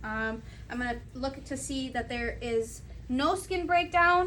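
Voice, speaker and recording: A woman speaks with ordinary pitch variation. The room echo is audible. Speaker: student nurse. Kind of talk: narrated clinical skills assessment. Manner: occasionally stumbling over words.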